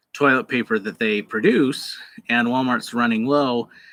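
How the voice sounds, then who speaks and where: The tone is bright and sharp. The speaker is a man. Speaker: university lecturer. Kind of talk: online lecture. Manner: slow; hesitant, many fillers.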